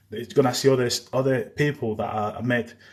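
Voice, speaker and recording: This man's voice is somewhat breathy. His medium pitch shifts with ordinary variation. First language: Spanish. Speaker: live streamer on war news. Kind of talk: live stream chat. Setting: live stream.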